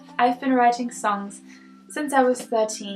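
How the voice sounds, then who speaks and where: Through noticeable background noise, a woman with a non-native accent speaks in a fairly high voice with fairly even intonation. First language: not English. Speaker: singer-songwriter and video creator. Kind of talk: scripted tutorial talk. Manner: hesitant fillers.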